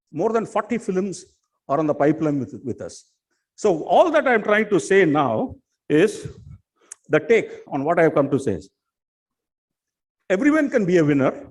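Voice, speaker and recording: A man with a high pitch talks at a fairly quick pace, with long, frequent pauses. His pitch swings very widely and his loudness shifts a lot. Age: 60s. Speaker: film production fixer. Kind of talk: conference speech.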